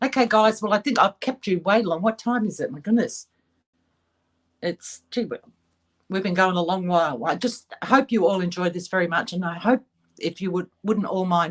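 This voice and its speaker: A woman speaks with an Australian accent. Her pitch is medium and her pace is moderate. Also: ordinary pitch variation. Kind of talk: livestream chat. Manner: clear and articulate; halting.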